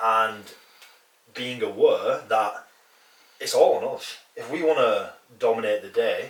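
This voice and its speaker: Over noticeable background noise, a man with a northern English accent speaks at a fairly slow pace, with long, frequent pauses and big swings in loudness. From northern England. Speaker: fitness coach and podcast co-host. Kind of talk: casual podcast chat.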